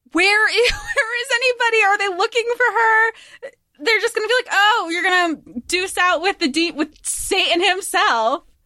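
This woman's voice is raised and projected, with an extremely high pitch and a bright, sharp tone. She moves at a moderate pace with lively intonation. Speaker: book podcast host. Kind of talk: casual chat. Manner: loud; animated.

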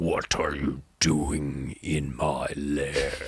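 Putting on a character voice, a man drops to a very deep, low pitch. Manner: menacing.

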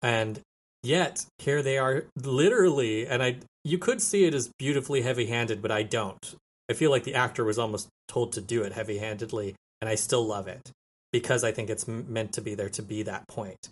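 Somewhat breathy, with an American accent. The pace is fairly quick and the pitch varies in an ordinary way. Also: man, medium pitch for a man. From New Mexico, US. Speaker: former film student, podcaster. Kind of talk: casual chat.

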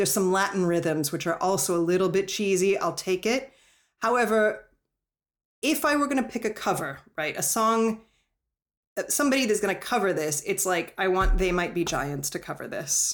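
In a very clean recording with a silent background, a woman talks at a moderate pace with a medium pitch, lively intonation and a normal speaking voice. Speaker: podcast host. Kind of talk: casual interview conversation.

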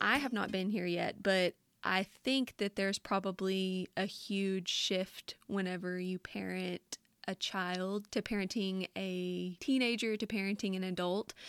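This woman speaks at a fairly slow pace with a strong Southern US accent, her pitch medium and her intonation fairly even. The recording is very clean, with a silent background. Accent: thick Southern US. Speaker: podcast host. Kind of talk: casual chat, interview.

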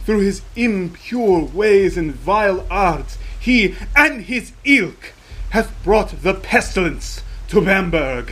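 Slow and high-pitched, a man does a put-on character voice with a fairly bright tone and big pitch swings.

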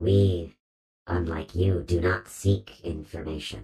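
A man puts on a character voice with a very deep, low pitch. He speaks at a fairly slow pace with lively intonation. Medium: actual play. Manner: slow, terse, formal.

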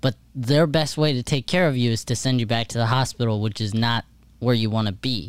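With ordinary pitch variation, a normal speaking voice goes along at a fairly quick pace. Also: man, medium pitch for a man. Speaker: producer and co-host. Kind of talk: casual chat, show intro and outro.

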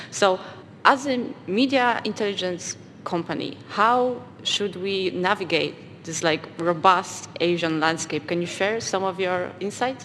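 Over noticeable background noise, a woman at medium pitch talks at a fairly slow pace with ordinary pitch variation. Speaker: podcast co-host, product lead. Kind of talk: panel discussion, live.

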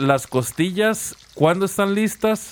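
A man speaks very slowly while noticeable background noise runs underneath. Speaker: podcast host. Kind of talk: casual chat.

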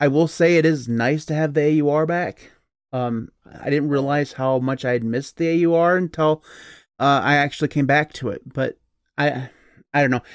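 A man with a plain, everyday voice, fairly high in pitch, with fairly even intonation, dry, close sound with no echo, and a very clean recording with a silent background. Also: moderate pace. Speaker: podcast host. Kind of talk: casual chat. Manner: joking, tangent-prone.

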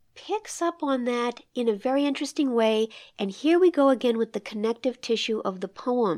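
With an American accent, a woman has a plain, everyday voice at a fairly high pitch with ordinary pitch variation and a moderate pace, in a very clean recording with a silent background and a dry, close sound with no echo. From not from the Midwest. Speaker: podcast host and poetry reader. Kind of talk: poetry discussion and reading aloud.

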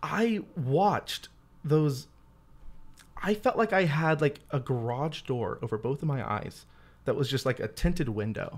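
In a very clean recording with a silent background, a man speaks fairly slowly and somewhat breathily at a fairly high pitch, with very wide pitch swings and long, frequent pauses. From Louisiana. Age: 20s. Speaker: former missionary, youth minister. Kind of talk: casual chat.

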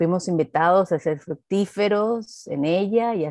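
A woman's dark, mellow tone with ordinary pitch variation, in a dry, close sound with no echo over a quiet background. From Venezuela. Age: 50s. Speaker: pastor and eco-theology activist. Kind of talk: interview.

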